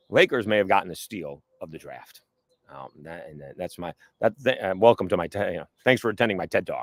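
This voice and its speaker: The man talks at a fairly quick pace, recorded with a dry, close sound and no echo. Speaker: sports talk show host. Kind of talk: casual solo podcast talk. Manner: loud.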